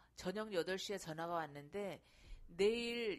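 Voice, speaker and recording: Her voice sits at a medium pitch for a woman. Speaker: mother and amateur real estate investor. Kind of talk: personal testimony.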